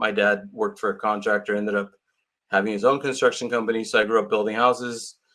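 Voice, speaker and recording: A man's medium-pitched voice, bright and sharp in tone, against a quiet background. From California, Santa Cruz area. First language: Portuguese. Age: 50s. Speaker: real estate agent. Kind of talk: interview.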